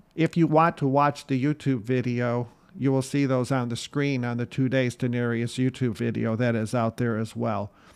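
A man with an unremarkable speaking voice talks at a moderate pace and medium pitch, with fairly even intonation, hardly any pauses and a quiet background. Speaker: podcast host. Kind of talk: guided prayer. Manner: fervent, earnest, devout.

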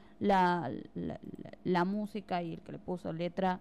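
Medium in pitch, a woman talks with a Buenos Aires accent. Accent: Argentine Spanish (Buenos Aires area). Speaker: radio host. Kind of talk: casual radio chat. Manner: animated.

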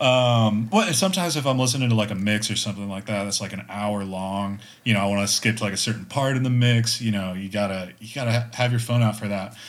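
With an American accent, a man talks very fast at a fairly low pitch, his intonation fairly even and hardly any pauses between words. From Texas. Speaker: amateur runner. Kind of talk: casual chat.

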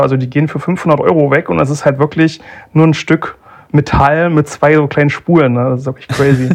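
A man speaks with an ordinary speaking voice at a fairly high pitch. He moves at a fairly quick pace with fairly even intonation. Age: 20s. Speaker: analog photographer. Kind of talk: casual chat.

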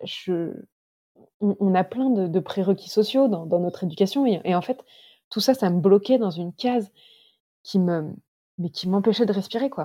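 A woman speaks at a medium pitch with a dark, mellow tone. Her pace is fairly slow and her pitch variation ordinary. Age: 30s. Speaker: long-distance hiker. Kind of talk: interview. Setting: remote call.

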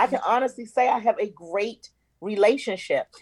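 An animated-sounding woman, dry and close with no echo. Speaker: actress. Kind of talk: casual chat.

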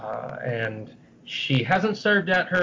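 Noticeable background noise under a man's fairly high-pitched speech. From San Francisco, US. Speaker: historian and novelist. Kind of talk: interview. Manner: halting, many repetitions.

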